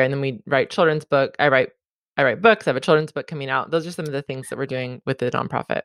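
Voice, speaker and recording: In a very clean, dry, close recording with a silent background and no echo, a woman with a Californian accent speaks at a very deep, low pitch. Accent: Californian American. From Southern California. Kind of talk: interview conversation.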